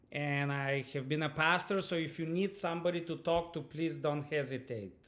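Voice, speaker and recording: A fairly high-pitched man's voice with a Bulgarian accent and fairly even intonation. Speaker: university lecturer. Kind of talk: online lecture introduction. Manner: halting, many fillers and repetitions.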